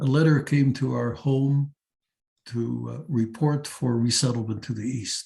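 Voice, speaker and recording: This man's voice is somewhat breathy, with a medium pitch and fairly even intonation. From Netherlands. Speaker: psychiatrist and Holocaust survivor. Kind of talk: testimony talk. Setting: seminar talk to teachers. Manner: halting, frequent uh fillers.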